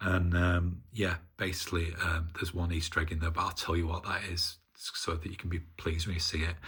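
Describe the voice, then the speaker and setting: Talking at a moderate pace, a man with a northern English accent has a very deep, low pitch, a bright, sharp tone and flat, monotone intonation. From northern England. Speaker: hobbyist maker. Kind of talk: casual video demonstration. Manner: halting, many fillers.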